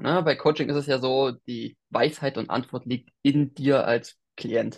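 A man's medium-pitched voice at a very slow pace, over a quiet background. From Thuringia, eastern Germany. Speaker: business mentor, digital nomad. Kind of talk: interview. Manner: animated.

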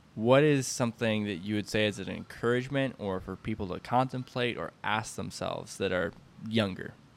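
Talking at a fairly quick pace, a man speaks in a Midwestern American accent. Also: ordinary pitch variation. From US Midwest. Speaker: podcast host. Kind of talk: casual interview.

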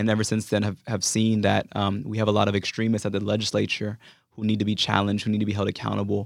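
Very fast and monotone, a man with an American accent talks in a flat intonation at very even loudness. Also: fairly low pitch for a man, very clean recording, silent background. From US West Coast, San Francisco Bay Area. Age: 20s. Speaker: activist and congressional candidate. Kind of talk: interview.

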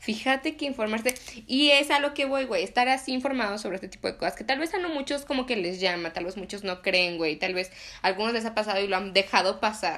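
Talking at a very fast pace, a woman uses lively intonation at a fairly high pitch. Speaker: podcast host. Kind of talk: casual chat.

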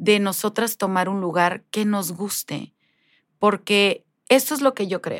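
In a very clean recording with a silent background and a dry, close sound with no echo, a woman speaks at a very slow pace with ordinary pitch variation. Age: 40s. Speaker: life coach. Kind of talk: interview.

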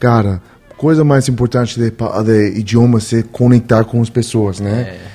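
With a Spanish accent, a man speaks at a fairly slow pace using fairly even intonation. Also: medium pitch for a man. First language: Spanish (speaking Portuguese). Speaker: podcast guest. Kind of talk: casual chat.

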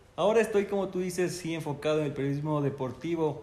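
Audible room echo surrounds the voice. Its pitch varies in an ordinary way. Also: man. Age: 20s. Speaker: journalist. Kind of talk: casual interview.

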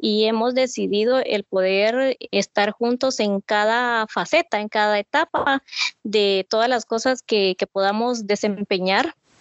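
A woman has an unremarkable speaking voice, fairly high in pitch. She talks at a fairly slow pace. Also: ordinary pitch variation. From Guatemala, Mazatenango. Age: 30s. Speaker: businesswoman and mother. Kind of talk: podcast interview.

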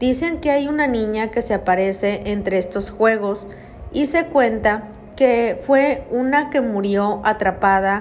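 This woman talks at a very slow pace with a fairly high pitch and ordinary pitch variation. Audible room echo surrounds her voice. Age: 30s. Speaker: podcast host, paranormal storyteller. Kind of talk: storytelling narration.

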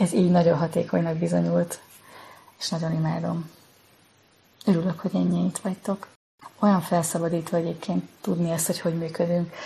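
A woman's fairly low-pitched, monotone voice with flat intonation, a fairly quick pace, and long, frequent pauses. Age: 40s. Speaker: self-knowledge teacher. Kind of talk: live Q&A. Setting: TikTok livestream.

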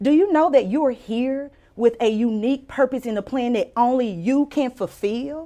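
A woman's high, dark, mellow voice in a Louisiana accent, at a moderate pace with ordinary pitch variation. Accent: US Southern (Louisiana). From Louisiana (Mansfield, rural). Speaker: physician and author. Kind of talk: casual interview with personal testimony.

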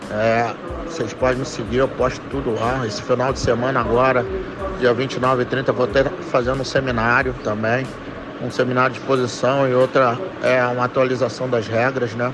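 A man's monotone, flat delivery at a moderate pace, with audible room echo and noticeable background noise. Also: medium pitch for a man. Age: 40s. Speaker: jiu-jitsu instructor. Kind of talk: interview answers recorded as voice messages. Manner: casual, with frequent fillers and repetitions.

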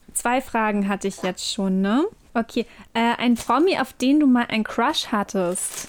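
A woman's fairly slow, fairly high-pitched speech in a plain, everyday voice, with ordinary pitch variation, on a very clean recording with a silent background. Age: 20s. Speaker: podcast co-host. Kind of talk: casual chat.

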